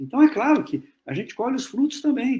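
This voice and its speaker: A man speaks at a moderate pace. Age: 60s. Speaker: physics professor. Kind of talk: Q&A after lecture.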